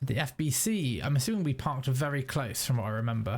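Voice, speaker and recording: A man's medium-pitched, somewhat breathy voice with a British accent, at a fairly quick pace. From UK. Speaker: gaming YouTuber. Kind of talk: let's play commentary. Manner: casual, conversational.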